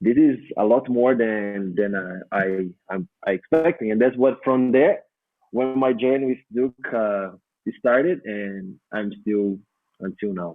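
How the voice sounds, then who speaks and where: With a Brazilian Portuguese accent, a man talks at a fairly slow pace and medium pitch, with ordinary pitch variation. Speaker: dance teacher and choreographer. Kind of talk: podcast interview answer.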